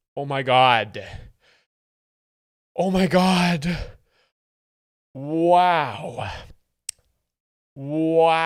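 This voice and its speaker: A put-on character voice sits at a middle pitch. It moves at a very slow pace, with long, frequent pauses. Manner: gushing, overwhelmed.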